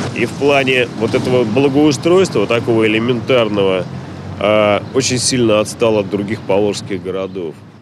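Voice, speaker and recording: Over noticeable background noise, a man talks at a moderate pace with ordinary pitch variation, and the sound is dry with no echo. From Russia, Samara (Volga region); Russia. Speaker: journalist. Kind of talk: news interview. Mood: critical, complaining about city. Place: street. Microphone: handheld.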